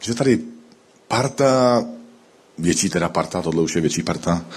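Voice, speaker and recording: With ordinary pitch variation and a moderate pace, the delivery is an unremarkable speaking voice. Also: man. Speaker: pastor. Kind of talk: sermon.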